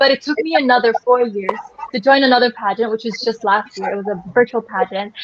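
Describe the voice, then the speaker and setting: A woman's fairly high voice with ordinary pitch variation, amid noticeable background noise. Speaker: beauty pageant contestant. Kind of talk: casual chat.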